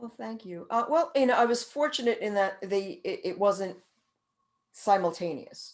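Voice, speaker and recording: Her pitch fairly high, a woman speaks at a moderate pace with lively intonation and big swings in loudness. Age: 60s. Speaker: author and caregiving speaker. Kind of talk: interview. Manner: halting, many repeated words.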